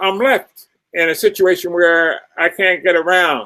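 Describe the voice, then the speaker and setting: Speaking very slowly, a man raises and projects his high, bright, sharp voice. He has an American accent and ordinary pitch variation. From US Northeast, Philadelphia. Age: 80s+. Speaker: author and retired professor. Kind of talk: interview.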